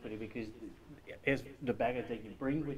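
There is light noise behind the speech. The speaker is a man. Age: 50s. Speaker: study group member. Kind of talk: group discussion. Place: meeting room. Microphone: camera far.

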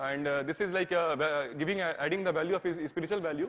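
A man's high-pitched voice. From India. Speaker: architecture student; presenter. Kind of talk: presentation. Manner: halting. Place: hall.

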